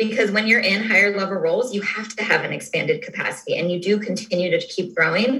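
Audible room echo surrounds a woman speaking at medium pitch and a fairly quick pace. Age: 30s. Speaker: sales leader. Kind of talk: interview.

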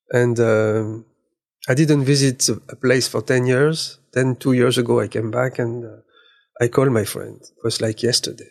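In a French accent, a man speaks at a moderate pace and medium pitch with monotone, flat intonation. His loudness swings widely. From eastern France, near German border. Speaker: magazine director and photographer. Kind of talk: interview. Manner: halting.

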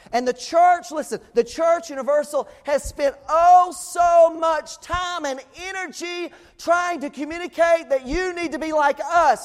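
Over noticeable background noise, a man with an extremely high pitch speaks at a fairly slow pace. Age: 40s. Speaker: pastor. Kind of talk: sermon. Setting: church.

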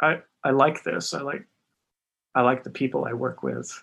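Here a man speaks at a moderate pace. He has an American accent. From US Northeast, southern Massachusetts near Boston. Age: 50s. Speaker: sneaker designer. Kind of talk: casual interview chat.

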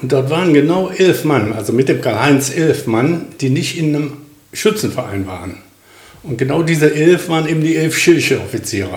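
This man's voice sits fairly high, with lively intonation and some vocal fry. He talks at a moderate pace, and the room echo is audible. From Krefeld-Oppum, Lower Rhine, Germany. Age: 70s. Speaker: retired welder and rifle club officer. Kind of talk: casual interview.

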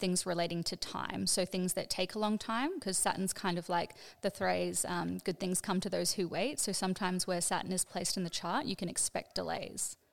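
In a very clean recording with a silent background, a woman with an unremarkable speaking voice speaks at a medium pitch and a fairly quick pace. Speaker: astrologer. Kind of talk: explanatory teaching.

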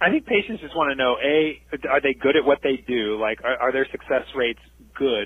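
Fairly quick speech from a man with a fairly high pitch and ordinary pitch variation. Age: 40s. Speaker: fertility doctor and professor. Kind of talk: interview.

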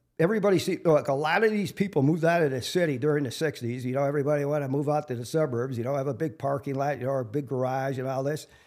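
A fairly high-pitched male voice at a very fast pace with ordinary pitch variation, on a very clean recording with a silent background. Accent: Wisconsin. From Milwaukee, Wisconsin (South Side). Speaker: local street celebrity, construction worker. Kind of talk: interview.

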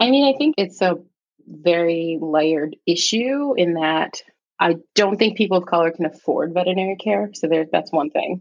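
A plain, everyday voice at a moderate pace, with lively intonation and very even loudness. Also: woman, fairly low pitch for a woman. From New York City, the Bronx. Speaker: veterinary oncologist. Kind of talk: casual interview chat.

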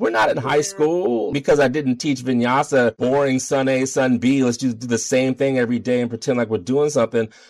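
A man with an American accent speaks at a fairly quick pace in a medium pitch, with ordinary pitch variation and noticeable background noise. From Baltimore, Maryland, US. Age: middle-aged. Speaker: yoga teacher and activist. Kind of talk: interview.

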